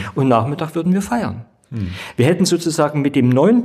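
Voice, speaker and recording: With very wide pitch swings, a man talks in a somewhat breathy voice. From East Germany. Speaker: theologian and state politician. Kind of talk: debate discussion.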